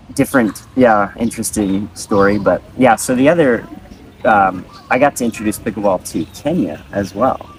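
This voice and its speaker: A speaker with an American accent talks at a moderate pace. Pitch varies in an ordinary way, and there is noticeable background noise. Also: man, fairly low pitch for a man. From Japan. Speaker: professional pickleball player. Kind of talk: casual interview. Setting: resort in Vietnam.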